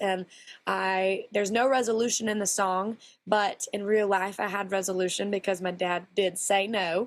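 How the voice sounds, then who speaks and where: A woman speaks in a Texan accent at a medium pitch. Her intonation stays fairly even. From Texas. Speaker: country singer. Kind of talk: interview.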